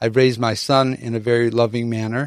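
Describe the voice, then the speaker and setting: In an American accent, a man talks at a moderate pace and medium pitch with monotone, flat intonation and a dry, close sound with no echo. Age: 70s. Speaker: organic fruit farmer. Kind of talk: interview. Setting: video livestream. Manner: halting.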